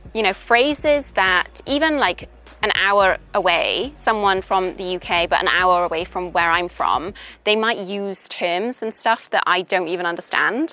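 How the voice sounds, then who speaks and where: A woman with a Welsh accent, bright and sharp in tone, medium in pitch, fairly slow, with lively intonation. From Wales. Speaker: English teacher. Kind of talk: interview. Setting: outdoors in a park. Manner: casual, hesitant with fillers.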